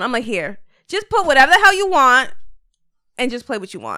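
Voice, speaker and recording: A woman's raised, projected voice, bright and sharp in tone, with very wide pitch swings at a very fast pace, on a very clean recording with a silent background. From Puerto Rico heritage, US. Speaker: podcaster with radio voice. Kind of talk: casual chat.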